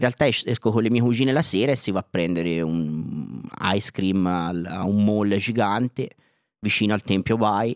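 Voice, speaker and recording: A man speaks at a moderate pace with fairly low pitch and ordinary pitch variation. The background is quiet, and the sound is dry with no echo. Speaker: activist. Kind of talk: casual chat. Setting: studio. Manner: animated. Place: studio. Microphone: handheld.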